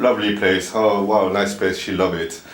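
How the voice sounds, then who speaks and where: Flat, monotone delivery over noticeable background noise, with audible room echo. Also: man. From Brazil. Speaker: camera operator and producer. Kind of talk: casual chat. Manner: halting.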